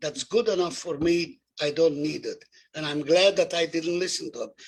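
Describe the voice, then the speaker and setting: A man speaks with a high pitch. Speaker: Holocaust survivor. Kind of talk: testimony.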